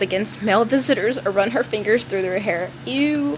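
A woman with an American accent talks at a fairly quick pace and medium pitch. Her intonation is lively, and noticeable background noise is present. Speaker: podcast co-host. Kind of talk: reading ghost stories aloud.

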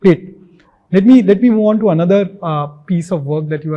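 A man's dark, mellow, somewhat breathy tone at a fairly quick pace, with ordinary pitch variation. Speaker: podcast host. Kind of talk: interview.

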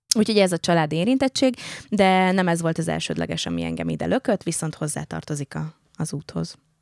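A woman speaks at a fairly quick pace in a very clean recording with a silent background and a dry, close sound with no echo. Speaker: actor and speech therapist. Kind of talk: casual chat.

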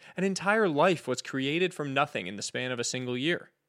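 A plain, everyday voice from a man, fairly high in pitch with lively intonation at a moderate pace, in a very clean recording with a silent background. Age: 30s. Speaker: podcast host. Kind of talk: scripted narration.

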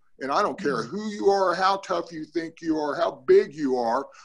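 Speaking in an American accent at a moderate pace, a man uses lively intonation. His pitch is high. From Northern California. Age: 60s. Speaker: cannabis grower and army veteran. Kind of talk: casual group discussion. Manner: animated.

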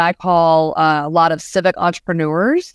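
Against a quiet background with a dry, close sound and no echo, a woman with an American accent uses a normal speaking voice, fairly low in pitch with fairly even intonation. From US South, Georgia. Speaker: museum planning consultant. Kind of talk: interview.

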